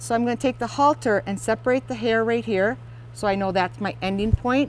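A woman with an American accent at a moderate pace, the sound dry with no echo and light background noise. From US Midwest, Wisconsin. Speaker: horse riding instructor and equestrian; horse riding instructor. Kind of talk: product demonstration. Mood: calm, gentle. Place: open country.

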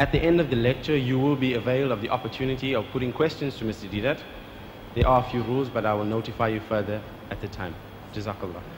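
Over noticeable background noise, a man speaks at a very fast pace with a medium pitch and ordinary pitch variation. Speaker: event host. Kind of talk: formal introduction. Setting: stage with audience. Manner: formal. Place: hall. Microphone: podium.

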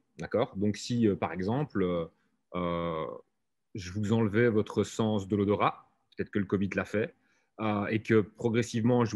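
The man talks fairly slowly, his pitch fairly low and its movement ordinary. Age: 40s. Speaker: software lead; conference speaker. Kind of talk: conference talk. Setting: video call. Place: hall.

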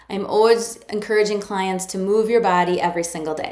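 A woman talks at a moderate pace, her voice carrying audible room echo. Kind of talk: educational talk to camera. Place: office. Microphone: phone near.

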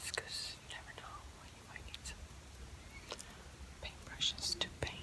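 The speaker is whispering with a gentle, relaxed tone. The pace is moderate, with long, frequent pauses. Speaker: ASMR creator. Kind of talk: ASMR rummaging video, casual talk to camera. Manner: soft-spoken, gentle, relaxed. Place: home room.

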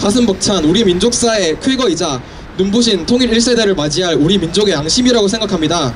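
Fairly quick speech with lively intonation. Noticeable background noise sits behind it. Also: man. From South Korea. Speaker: university student speech contestant. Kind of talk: public speech. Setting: outdoors, park entrance with audience. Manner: halting, frequent self-corrections. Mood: earnest, steady. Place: street. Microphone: handheld.

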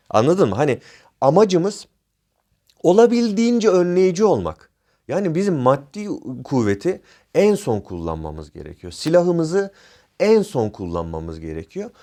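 Over a quiet background, a man speaks at a moderate pace with long, frequent pauses and big swings in loudness. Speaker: private security trainer and YouTuber. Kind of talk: informal tutorial. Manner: improvised, with frequent fillers.

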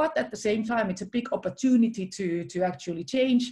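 A woman speaks at a fairly quick pace in a somewhat breathy voice over a quiet background. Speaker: chief innovation officer. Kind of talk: presentation. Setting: video call. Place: home room. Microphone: video call.

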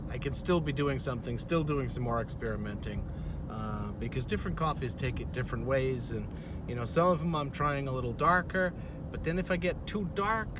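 The recording of a man speaking at a moderate pace sounds dry with no echo, though noticeable background noise is present. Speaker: vlogger. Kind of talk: casual vlog chat. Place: car. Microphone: phone near.

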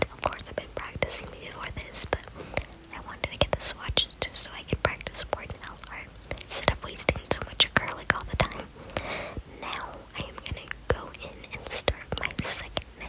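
A woman whispers with big swings in loudness over noticeable background noise. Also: moderate pace. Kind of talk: ASMR nail art voiceover. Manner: whispered; rambling, casual.

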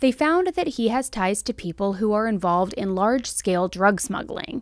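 A woman's voice with very wide pitch swings, at a moderate pace, dry with no echo, against a quiet background. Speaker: true crime host. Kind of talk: commentary. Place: home room. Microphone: studio mic.

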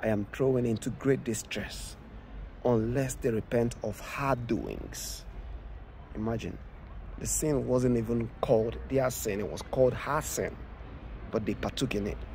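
A man's fairly slow speech with long, frequent pauses, dry sound with no echo, and light background noise. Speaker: preacher. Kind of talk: scripture reading with sermon commentary. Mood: earnest, warning tone. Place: open country. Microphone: phone near.

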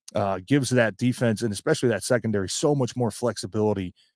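A man speaks at a fairly quick pace. The sound is dry with no echo and the background is quiet. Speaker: former NFL player and sports show co-host. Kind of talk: casual sports talk. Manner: rambling with many fillers. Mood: upbeat, excited about the win. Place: home room. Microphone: handheld.

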